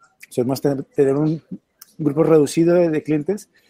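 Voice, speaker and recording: Dark, mellow tone with fairly even intonation in a dry, close sound with no echo. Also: man. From Colombia. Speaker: marketing agency owner. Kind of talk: interview.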